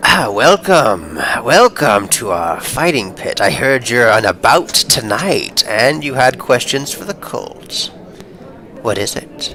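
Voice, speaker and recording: A man does a put-on character voice at medium pitch, with very wide pitch swings and a fairly slow pace. Clear background noise is present. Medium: actual play.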